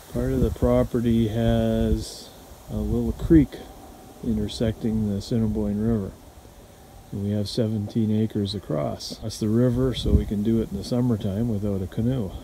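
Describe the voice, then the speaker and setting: The voice moves at a moderate pace over light background noise. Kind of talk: casual vlog chat. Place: open country. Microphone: phone near.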